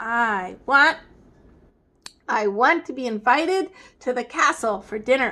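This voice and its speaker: A woman uses a put-on character voice at a high pitch. She leaves long, frequent pauses. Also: fairly slow pace. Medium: read story. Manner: pushy, demanding.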